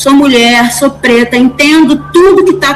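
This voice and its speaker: A woman is talking. Behind her, music can be heard. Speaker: course participant, teacher. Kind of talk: class discussion. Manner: halting, repeats words.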